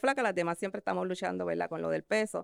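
On a very clean recording with a silent background and a dry, close sound with no echo, a woman talks at a very fast pace with ordinary pitch variation. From Puerto Rico, San Juan metro area. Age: 50s. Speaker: esthetician and insurance agent. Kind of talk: interview. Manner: halting.

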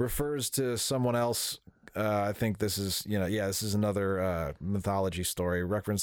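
In a very clean recording with a silent background, a man talks in a normal speaking voice, fairly low in pitch, with ordinary pitch variation and a moderate pace. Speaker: podcast co-host. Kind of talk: casual chat.

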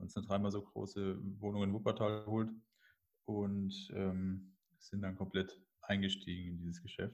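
A man speaks in a fairly low pitch with monotone, flat intonation. He leaves long, frequent pauses. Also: moderate pace. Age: 30s. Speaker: adult film agency owner. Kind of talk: interview. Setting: internet call. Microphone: poor online audio quality.

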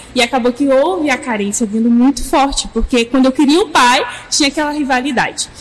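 A woman speaks at a fairly quick pace in a high voice, her loudness very even, with noticeable background noise behind her. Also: ordinary pitch variation. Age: 20s. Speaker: church youth leader. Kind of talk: casual chat.

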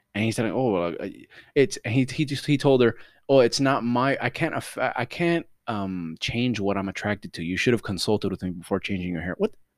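In a Miami accent, the speaker talks at a fairly quick pace with an animated tone and lively intonation on a very clean recording with a silent background. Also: man, medium pitch for a man. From Miami, Florida. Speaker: podcast co-host. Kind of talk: casual chat.

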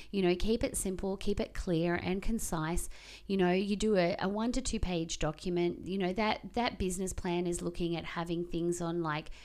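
A woman with an unremarkable speaking voice talks at a fairly low pitch. Her pace is moderate and her intonation fairly even. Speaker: podcast host. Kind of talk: casual chat.

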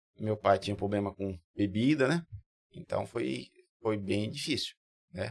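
A man's fairly low voice with very wide pitch swings, a fairly slow pace and long, frequent pauses, in a dry, close sound with no echo. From interior of São Paulo state, Brazil. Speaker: builder. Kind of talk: podcast interview.

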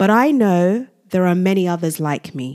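In a dry, close recording with no echo, a woman with a medium pitch and a dark, mellow tone speaks fairly slowly, her pitch swinging very widely. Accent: British. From grew up in England, Nigerian heritage. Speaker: podcast host. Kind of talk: solo podcast monologue. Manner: scripted narration.

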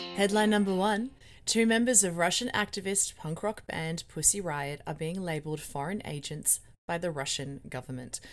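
In an Australian accent, a woman with a fairly low pitch speaks at a moderate pace with lively intonation. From Melbourne, Australia. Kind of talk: podcast monologue and interview. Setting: remote call interview.

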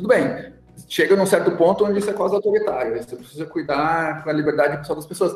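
Amid noticeable background noise, a high-pitched man with a strong gaúcho accent speaks at a very fast pace, with ordinary pitch variation and big swings in loudness. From Rio Grande do Sul, Brazil (São Leopoldo, Porto Alegre area). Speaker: chemistry professor and researcher. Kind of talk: casual interview.

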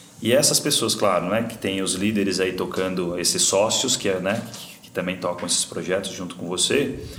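A man with a very deep, low pitch and ordinary pitch variation speaks with big swings in loudness, amid noticeable background noise and audible room echo. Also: moderate pace, hardly any pauses. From Brazil, São Paulo; moved to São José do Rio Preto at 15. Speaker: podcast host, business mentor. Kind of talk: casual interview chat.

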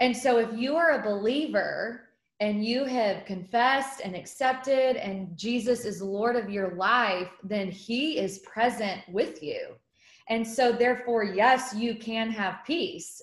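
Her pitch fairly high with ordinary variation, a woman speaks at a fairly slow pace in a normal speaking voice. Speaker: guest speaker and mom. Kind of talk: casual interview chat. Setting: video call.

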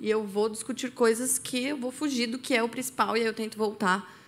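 A woman's normal speaking voice, fairly high in pitch, with ordinary pitch variation and a moderate pace, on a very clean recording with a silent background. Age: 30s. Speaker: science teacher and church member. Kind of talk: casual chat.

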